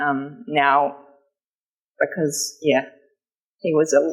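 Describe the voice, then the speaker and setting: A woman speaks with a New Zealand accent. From New Zealand, Marlborough/Kaikōura area. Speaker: novelist. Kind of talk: book festival interview. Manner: halting, many fillers.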